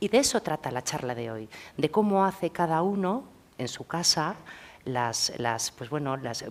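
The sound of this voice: A woman with a low-pitched voice speaks at a fairly slow pace, her intonation lively.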